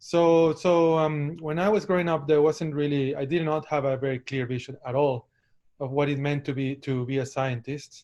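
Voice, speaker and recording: This man has a Spanish accent and a fairly high pitch. He keeps a moderate pace and fairly even intonation. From Ecuador, Guayaquil. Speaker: professor, microbiologist. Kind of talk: academic talk. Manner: halting, many repetitions and fillers.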